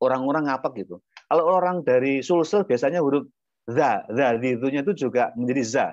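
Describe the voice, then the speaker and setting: A man with an ordinary speaking voice, fairly high in pitch, with lively intonation. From Indonesia, Lampung (Javanese parents). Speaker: Islamic preacher. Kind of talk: religious talk. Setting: video call.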